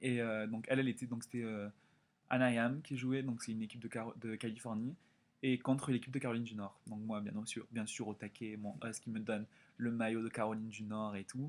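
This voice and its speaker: A man speaks at a fairly quick pace. His pitch is medium. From France. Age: 20s. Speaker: exchange student vlogger. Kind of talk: casual vlog storytelling. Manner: animated.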